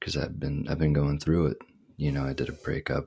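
Speaking quietly, a man has a very deep, low pitch. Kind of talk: casual monologue. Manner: quiet, low-energy.

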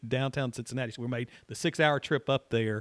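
The recording is very clean, with a silent background. A man's voice comes through with a dry, close sound and no echo. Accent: Tennessee. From Middle Tennessee (Franklin). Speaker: college soccer coach. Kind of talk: interview. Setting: athletic center office.

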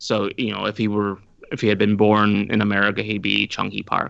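The man's voice sits fairly low in pitch. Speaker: podcast guest and Korea expert. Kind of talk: casual discussion.

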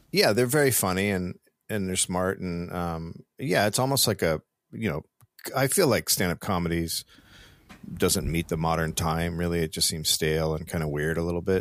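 In a very clean recording with a silent background and a dry, close sound with no echo, a man with an American accent speaks at a moderate pace in a very deep, low voice with ordinary pitch variation. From Northern California (Marin County). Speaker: comedian and podcaster. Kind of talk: casual chat.

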